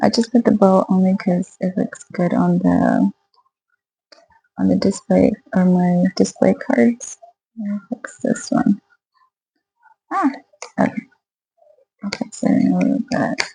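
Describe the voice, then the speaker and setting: A soft-spoken woman talks with long, frequent pauses over music in the background. The sound is dry and close, with no echo. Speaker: small craft seller, video blogger. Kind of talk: casual vlog. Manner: hesitant, many fillers. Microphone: poor audio.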